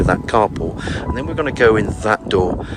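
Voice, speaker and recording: A man talks with a fairly low pitch. Noticeable background noise runs behind him. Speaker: estate agent. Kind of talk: property tour walkthrough. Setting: outdoors. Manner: casual, filler-heavy; whispering.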